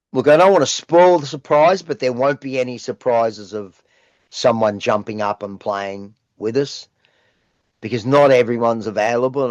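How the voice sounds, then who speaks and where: Against a quiet background, a man with an Australian accent talks at a moderate pace with a medium pitch and lively intonation, the sound dry and close with no echo. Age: 60s. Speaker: rock singer. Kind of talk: casual interview chat.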